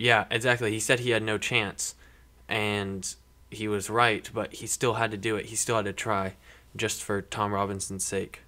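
Bright and sharp in tone, a man's fairly low voice stays monotone and flat at a moderate pace. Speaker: podcast panelist. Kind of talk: casual chat.

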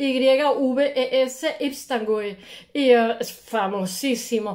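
Over a quiet background, a woman speaks in a high pitch with ordinary pitch variation. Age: 60s. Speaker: art history video blogger. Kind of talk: casual lecture. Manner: hesitant, many fillers. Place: home room. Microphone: earbuds.

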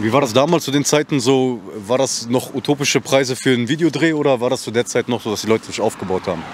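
Over light background noise, a man talks at a very fast pace with hardly any pauses and ordinary pitch variation, in a dry sound with no echo. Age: 20s. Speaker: interviewer. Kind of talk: casual interview. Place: street. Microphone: handheld.

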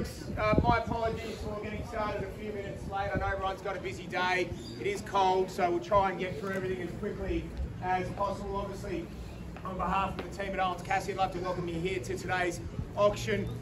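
A man talks at a very fast pace against noticeable background noise. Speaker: auctioneer. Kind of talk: auction opening announcement. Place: garden. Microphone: camera far.

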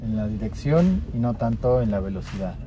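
A man at a fairly slow pace, with faint music in the background. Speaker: car reviewer. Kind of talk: car review commentary. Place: car. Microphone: phone near.

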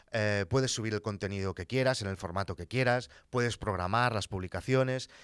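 A man's voice, with a dry sound with no echo and a quiet background. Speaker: content creator podcaster. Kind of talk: commentary. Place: studio. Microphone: studio mic.

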